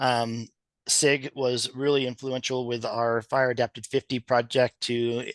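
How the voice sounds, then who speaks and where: The intonation is flat and monotone. The recording sounds dry and close, without any echo. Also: man. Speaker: presenter from a resource conservation district. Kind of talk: meeting presentation. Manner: fast; hesitant, many fillers.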